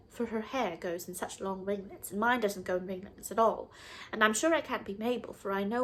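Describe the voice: The clip is plain reading aloud, and the pitch moves in an ordinary way.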